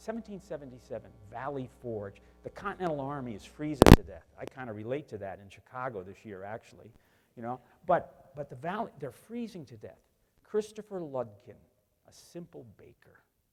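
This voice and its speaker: A man with a Northeastern US accent at a fairly quick pace, with big swings in loudness and very wide pitch swings. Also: fairly high pitch for a man. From US Northeast. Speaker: business executive, tool maker. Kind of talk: keynote speech. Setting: conference stage.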